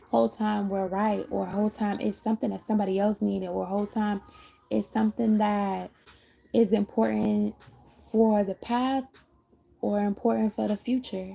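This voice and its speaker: Her tone dark and mellow and somewhat breathy, a woman speaks at a moderate pace in a monotone, flat intonation. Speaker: tarot reader. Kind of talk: live tarot reading.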